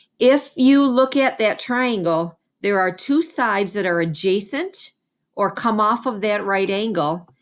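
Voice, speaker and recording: A woman's fairly high voice, an unremarkable speaking voice, with lively intonation at a fairly slow pace on a very clean recording with a silent background. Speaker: special education math teacher. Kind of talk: tutorial. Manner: casual, conversational.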